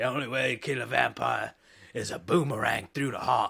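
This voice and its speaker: A man puts on a raspy character voice in an Australian accent, medium in pitch and delivered at a fairly quick pace. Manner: mocking, deadpan delivery of a silly line.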